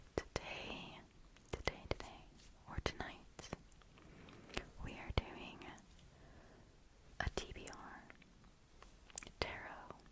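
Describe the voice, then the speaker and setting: Whispered speech moves at a very slow pace, broken by long, frequent pauses, with noticeable background noise behind it. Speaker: ASMR book content creator. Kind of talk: casual chatty talk to camera about books. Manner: whispered, soft.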